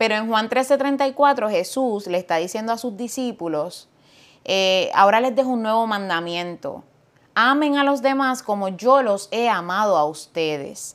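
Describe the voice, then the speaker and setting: A woman's fairly high voice in a Puerto Rican accent, at a fairly slow pace. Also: lively intonation, very clean recording, silent background. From Puerto Rico (Fajardo, east coast). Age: 40s. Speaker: pastor. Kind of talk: casual chat.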